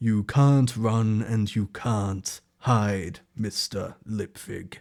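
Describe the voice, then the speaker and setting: A man puts on a booming character voice at a medium pitch and a very slow pace. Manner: threatening.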